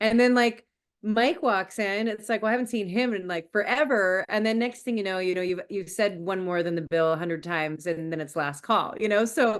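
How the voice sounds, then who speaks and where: Speaking fairly quickly in a Western Canadian accent, a woman sounds animated, her medium pitch moving with ordinary variation. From Canada, British Columbia (Abbotsford). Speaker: country singer. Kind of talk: casual interview chat.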